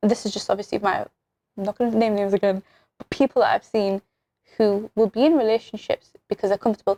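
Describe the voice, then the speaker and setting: Very fast and with a British accent, a woman with a fairly high pitch speaks in a dark, mellow tone, the sound dry and close with no echo. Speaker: podcast host. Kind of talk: casual chat. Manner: animated.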